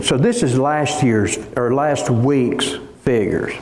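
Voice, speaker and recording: A man talks very slowly at a medium pitch. Room echo is audible in the recording. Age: 60s. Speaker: pastor. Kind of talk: sermon. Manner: halting.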